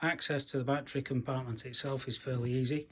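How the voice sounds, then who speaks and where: A man with a British accent speaks at a moderate pace in a monotone, flat intonation, his voice somewhat breathy. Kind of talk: DIY car repair tutorial.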